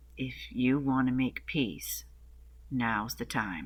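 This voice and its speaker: A man uses a put-on character voice that is gravelly. He talks at a very slow pace. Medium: read story.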